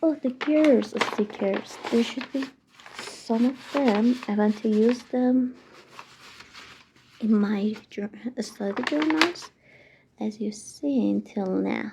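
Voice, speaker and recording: Very slow speech with long, frequent pauses over noticeable background noise. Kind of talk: ASMR unboxing, casual talk to camera. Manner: gentle, whispered commentary.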